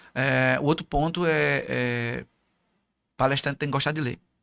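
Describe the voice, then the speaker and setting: A man with a fairly high voice sounds dry and close with no echo on a very clean recording over a silent background. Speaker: motivational speaker. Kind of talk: interview. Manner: fast.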